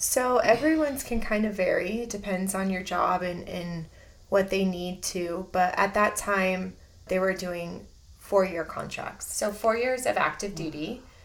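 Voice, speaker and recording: A woman with an American accent talks at a fairly slow pace in a plain, everyday voice, her medium pitch rising and falling in an ordinary way. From Southern California. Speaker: church member and navy veteran. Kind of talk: testimony.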